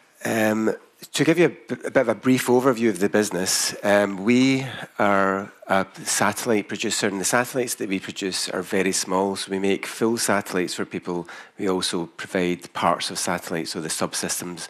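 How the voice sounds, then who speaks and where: A man with a strong Scottish accent speaks at a fairly low pitch with ordinary pitch variation. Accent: Scottish, thick. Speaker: company founder presenting to investors. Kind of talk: investor presentation. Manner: hesitant, many fillers.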